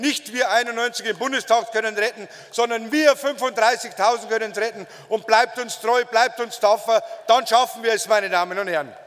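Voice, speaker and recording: A man speaks at a moderate pace in an extremely high voice, his pitch varying in an ordinary way. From Bavaria. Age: 40s. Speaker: politician. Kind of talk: campaign speech. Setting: party convention stage with audience. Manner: emphatic. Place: hall. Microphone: podium.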